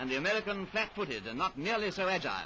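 Projecting his raised voice, a man speaks at a very fast pace against light background noise. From England. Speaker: newsreel commentator. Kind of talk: sports newsreel commentary. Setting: vintage film soundtrack. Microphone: old recording.

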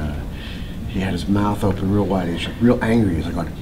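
Noticeable background noise behind a man's fairly low-pitched voice with ordinary pitch variation. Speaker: interviewee. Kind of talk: interview answer. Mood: warm, amused. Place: hall. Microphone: camera far.

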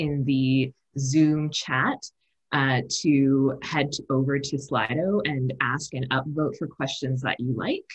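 A woman speaks very slowly in a very deep, low voice that is somewhat breathy. The background is quiet. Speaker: webinar host. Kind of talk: webinar opening remarks. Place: home room. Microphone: earbuds.

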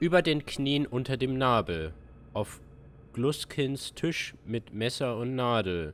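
Someone speaks at a very slow pace over light background noise. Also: man. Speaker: gamer streamer. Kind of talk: game commentary, reading aloud. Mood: puzzled, thoughtful.

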